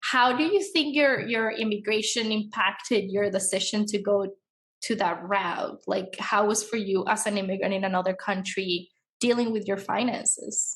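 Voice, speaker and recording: A woman's medium-pitched, ordinary speaking voice with fairly even intonation, at a moderate pace. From outside the US. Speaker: podcast host. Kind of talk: interview.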